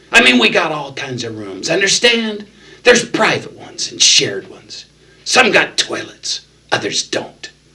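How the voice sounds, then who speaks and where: Putting on a whiny character voice, a man talks at a high pitch and a moderate pace, his loudness swinging widely. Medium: read story. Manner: slow, mocking, condescending.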